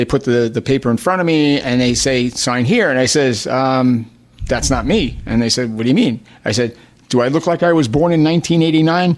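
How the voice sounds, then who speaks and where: A man talks at a fairly quick pace and a medium pitch. His pitch varies in an ordinary way while his loudness stays very even. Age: 60s. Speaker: state politician. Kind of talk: radio talk show interview. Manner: animated.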